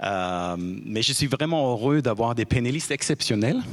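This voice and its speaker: The speaker is a man with a German accent. His pitch variation is ordinary. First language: German (speaking French). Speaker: debate moderator. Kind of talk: moderated panel debate. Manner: halting.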